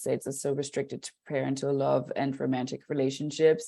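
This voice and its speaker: Speaking with a German accent, a woman has a very deep, low pitch and a dark, mellow tone. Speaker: podcast guest. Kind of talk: casual chat.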